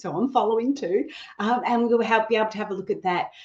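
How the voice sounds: A fairly high-pitched woman, her pitch varying in an ordinary way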